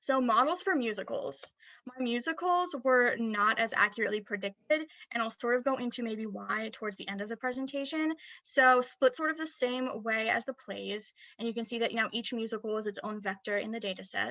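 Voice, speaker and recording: A woman with a fairly high pitch talks at a fairly quick pace. Her pitch varies in an ordinary way, and the sound is dry with no echo over a quiet background. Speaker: student presenter; presenter. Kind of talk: academic presentation; recorded presentation. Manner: fast; hesitant fillers. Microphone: webcam.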